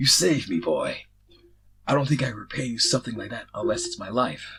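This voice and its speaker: A man's booming put-on character voice at medium pitch, fairly quick, with big swings in loudness. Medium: read story. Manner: hearty, booming.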